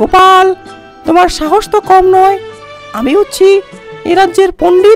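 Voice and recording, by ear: Someone speaks in a put-on character voice at a moderate pace. Clear music plays in the background.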